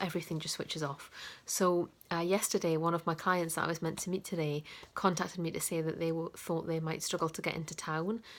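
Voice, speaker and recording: Over a very clean recording with a silent background, a woman with a northeast English accent speaks at a fairly quick pace, fairly low in pitch and with fairly even intonation. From northeast England. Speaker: coach. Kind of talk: casual vlog talk to camera. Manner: hesitant, many fillers.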